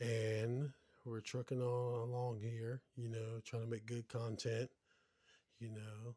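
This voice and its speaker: Very slowly and in a flat monotone, a man speaks at a medium pitch with a dark, mellow, somewhat breathy tone, the sound dry and close with no echo. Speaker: podcast co-host. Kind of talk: casual chat.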